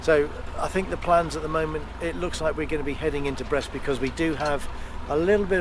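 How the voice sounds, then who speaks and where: Noticeable background noise and audible room echo surround a man talking at a very fast pace. His pitch is fairly high and his intonation fairly even. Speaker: sailing vlogger. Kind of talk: casual vlog narration to camera. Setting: outdoors on a boat at sea. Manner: soft-spoken, speaking quietly.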